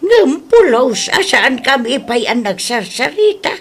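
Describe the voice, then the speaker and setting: At a very slow pace, a female-sounding voice performs a put-on character voice. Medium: audio drama.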